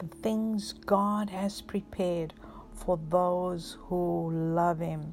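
Music plays in the background. A woman speaks at a very slow pace with fairly even intonation. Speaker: pastor. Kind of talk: guided prayer with breathing exercise. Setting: recorded message for listeners at home or in hospital. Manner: slow, calm, soothing; reassuring, pastoral, rhythmic counting.

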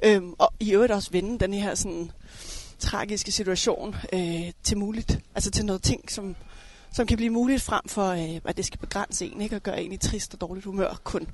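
With a normal speaking voice, a woman talks at a moderate pace and medium pitch, using ordinary pitch variation against a quiet background. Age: 30s. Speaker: coach and elite table tennis player. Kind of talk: casual chat. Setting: outdoors.

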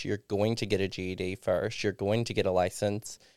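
A man with an American accent and a fairly low pitch at a moderate pace, on a very clean recording with a silent background. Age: 30s. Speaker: recovering alcoholic sharing his story. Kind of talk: casual interview, personal testimony.

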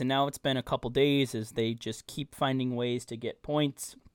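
Moderate pace and fairly high pitch from a man with a plain, everyday voice. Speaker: podcast host. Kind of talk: casual sports podcast chat.

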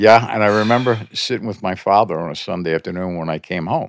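A man talks at a fairly low pitch. The sound is dry and close with no echo. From Philadelphia, US. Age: 70s. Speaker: veteran music industry promoter. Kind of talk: casual interview. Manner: laughs often, good-humored.

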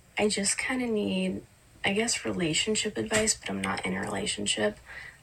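Noticeable background noise accompanies a woman speaking at a fairly slow speed. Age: 20s. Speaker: paramedic student. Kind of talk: submitted video question.

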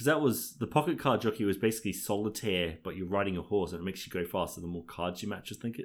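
A man's fairly low voice at a very fast clip, with ordinary pitch movement, in a very clean recording over a silent background. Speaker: podcast co-host. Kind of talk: casual chat.

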